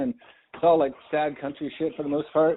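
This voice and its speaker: A man talks at a moderate pace in a fairly high pitch. He has a normal speaking voice. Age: 50s. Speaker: podcast host. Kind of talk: casual chat.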